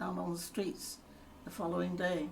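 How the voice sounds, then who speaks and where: A woman's fairly low, vocal-fried voice at a moderate pace. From London, England. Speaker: grandmother telling life story. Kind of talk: oral history interview.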